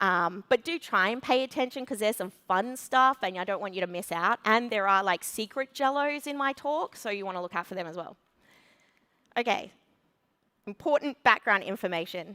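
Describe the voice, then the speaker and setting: A loud woman with an Australian accent, bright, sharp tone and lively intonation, in a very clean recording with a silent background. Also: medium pitch for a woman, moderate pace, dry, close sound with no echo. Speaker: conference speaker, web developer. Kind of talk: conference talk. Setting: stage with audience.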